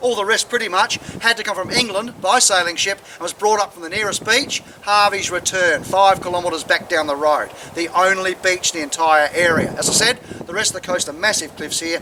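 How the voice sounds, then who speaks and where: Speaking at a fairly quick pace with an Australian accent, a man uses a high pitch and ordinary pitch variation over noticeable background noise. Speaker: tour guide. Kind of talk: guided tour talk to visitors. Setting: outdoors. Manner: very fast; humorous, chatty.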